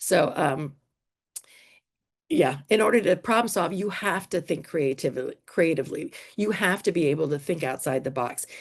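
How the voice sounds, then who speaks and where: Lively in intonation, a woman speaks at a fairly low pitch against a quiet background. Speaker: teacher presenting at an education conference. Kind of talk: conference workshop presentation. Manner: fast.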